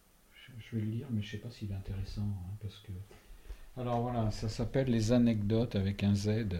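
With a dark, mellow tone and a somewhat breathy voice, a man talks at a fairly quick pace in a monotone, flat intonation while his loudness swings widely. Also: fairly low pitch for a man. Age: 60s. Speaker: retiree, stepfather of a healer. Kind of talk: interview.

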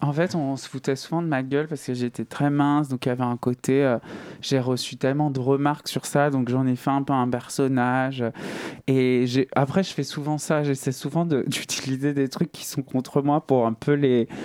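Here a man talks at a medium pitch and a moderate pace, his intonation flat and monotone. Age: 30s. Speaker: singer. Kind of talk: interview. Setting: studio.

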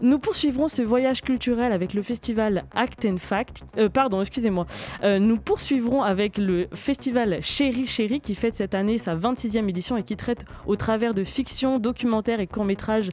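A woman at a fairly high pitch and moderate pace, with noticeable background noise. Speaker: radio host. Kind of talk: casual chat. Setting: studio.

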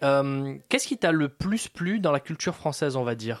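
In a very clean recording with a silent background, a man with a plain, everyday voice and fairly high pitch speaks at a moderate pace with ordinary pitch variation. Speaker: radio host. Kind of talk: radio show hosting. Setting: studio.

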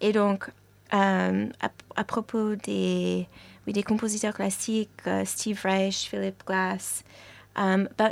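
The recording is very clean and the background silent. A woman speaks very slowly. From New York, US. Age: young. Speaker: musician. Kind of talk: interview. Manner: hesitant, many fillers.

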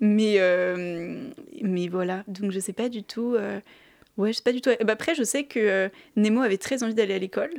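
A woman's fairly high-pitched voice at a moderate pace, with ordinary pitch variation and long, frequent pauses, on a very clean recording with a silent background. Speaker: film columnist. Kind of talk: radio film review. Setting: studio.

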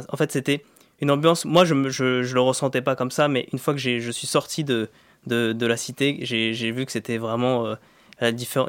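A medium-pitched man at a fairly quick pace, monotone and flat in intonation. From Paris suburbs, Val-de-Marne (Vitry-sur-Seine). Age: 20s. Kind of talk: radio interview. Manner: halting, many repetitions and fillers.

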